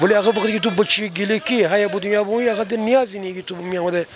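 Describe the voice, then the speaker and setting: Against noticeable background noise, a man talks at a very fast pace in a high pitch. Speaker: passerby interviewee. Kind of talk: street interview.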